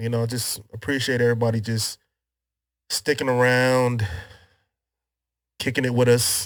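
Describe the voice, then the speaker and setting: A man's relaxed, medium-pitched voice at a moderate pace, monotone and flat, with long, frequent pauses. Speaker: podcast host. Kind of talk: casual chat. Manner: casual, relaxed.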